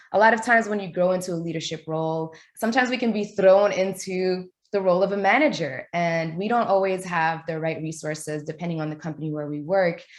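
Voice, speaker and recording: Against a quiet background, a woman with an ordinary speaking voice talks at a medium pitch with lively intonation. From New York. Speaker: event host. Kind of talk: webinar introduction. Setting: video call.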